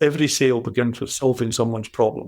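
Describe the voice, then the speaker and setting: A man speaks with a Scottish accent. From Scotland. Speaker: business coach. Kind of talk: interview answer.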